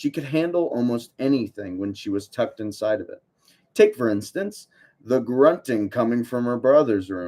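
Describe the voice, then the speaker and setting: Here a man speaks with an American accent in a dark, mellow tone. His intonation is lively, and his loudness swings widely. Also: medium pitch for a man, moderate pace. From United States. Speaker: online book club host. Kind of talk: reading aloud. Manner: casual, self-deprecating asides.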